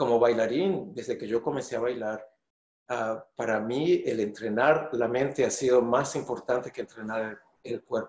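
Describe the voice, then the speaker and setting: Audible room echo surrounds a man whose loudness swings widely. His pitch varies in an ordinary way. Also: moderate pace. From Venezuela. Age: 50s. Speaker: choreographer and dancer. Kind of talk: interview answer. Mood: thoughtful, earnest. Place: home room.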